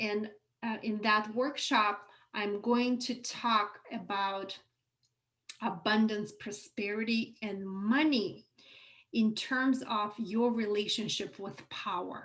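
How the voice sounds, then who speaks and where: With a non-native accent and fairly even intonation, the speaker goes at a very slow pace amid audible room echo. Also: woman, fairly high pitch for a woman. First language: not English. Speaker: online course teacher. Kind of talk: live workshop lecture. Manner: hesitant fillers, self-corrections.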